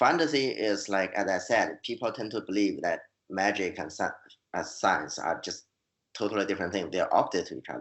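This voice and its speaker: A man with a Chinese accent at a fairly quick pace. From China. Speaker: fantasy author and scientist. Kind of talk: interview. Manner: halting, many repeated words.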